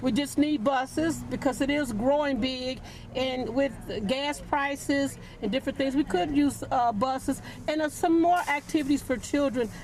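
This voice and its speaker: A woman's high voice at very even loudness, against noticeable background noise. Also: ordinary pitch variation, moderate pace. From St. Louis. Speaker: local resident. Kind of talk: street interview.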